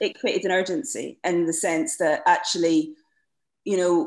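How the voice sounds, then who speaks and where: A woman with a Scottish accent speaks in a fairly low pitch. Her intonation is lively. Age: 40s. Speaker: playwright. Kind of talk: panel discussion. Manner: halting.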